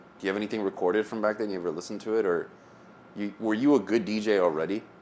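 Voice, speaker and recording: Talking very fast with an American accent, a man has a fairly low pitch and fairly even intonation. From US South. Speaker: DJ and podcast host. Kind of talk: casual chat.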